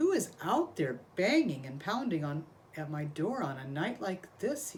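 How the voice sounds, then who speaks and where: In a put-on character voice, a woman speaks at a moderate pace, her fairly low pitch making very wide swings. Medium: read story. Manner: earnest, worried.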